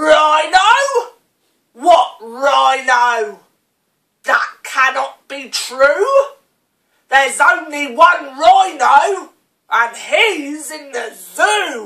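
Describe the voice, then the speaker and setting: Using a put-on character voice, a woman speaks very slowly at a high pitch. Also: lively intonation. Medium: read story.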